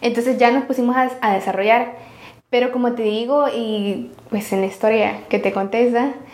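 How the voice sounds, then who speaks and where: Moderate pace amid noticeable background noise and audible room echo. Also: woman, fairly high pitch for a woman. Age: 20s. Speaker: tech startup founder. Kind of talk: interview conversation. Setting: office.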